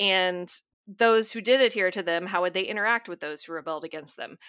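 Recorded very cleanly against a silent background, a normal speaking voice with an American accent shows ordinary pitch variation. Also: woman. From US South, North Alabama. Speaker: novelist and English teacher. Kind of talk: interview.

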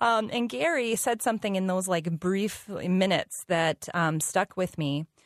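An unremarkable speaking voice from a woman at medium pitch, lively intonation and very even loudness, hardly any pauses, dry, close sound with no echo, and a very clean recording with a silent background. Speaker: nutrition educator. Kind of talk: casual chat.

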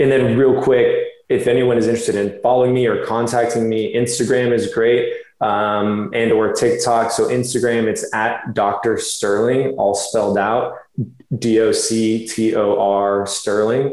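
A man speaks at a fairly slow pace with an American accent and very even loudness. Room echo is audible. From Florida. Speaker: chiropractor and fitness model. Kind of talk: interview.

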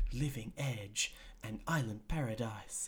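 Medium-pitched male voice, somewhat breathy, at a moderate pace. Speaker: podcast host. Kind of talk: casual chat. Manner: casual, swearing, relaxed.

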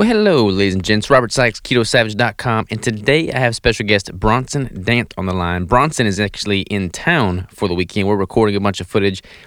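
An unremarkable speaking voice with normal pitch movement, fairly brisk in speed, on a very clean recording against total silence. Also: man, fairly low pitch for a man. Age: 20s. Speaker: podcast host. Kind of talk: casual chat; scripted intro. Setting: studio.

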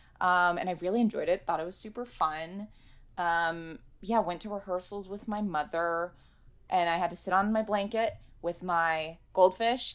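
Speaking at a moderate pace with a General American accent, a woman uses an ordinary speaking voice at medium pitch with fairly even intonation, in a very clean recording with a silent background. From Los Angeles, US. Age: 20s. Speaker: actress and voiceover artist. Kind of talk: casual interview.

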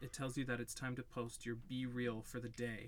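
With a plain, everyday voice, a man talks at a fairly quick pace and a medium pitch. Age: 20s. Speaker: podcast co-host. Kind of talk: casual chat.

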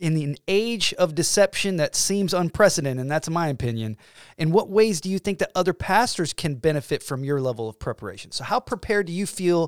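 A man with a fairly high pitch talks at a fairly quick pace in a plain, everyday voice. The sound is dry and close with no echo, on a very clean recording with a silent background. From US South (Georgia). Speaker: podcast host. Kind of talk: interview.

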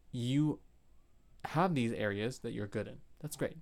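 Here is an ordinary speaking voice, moving at a moderate pace with ordinary pitch variation. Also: man. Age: 20s. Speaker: dance teacher. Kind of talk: casual interview chat.

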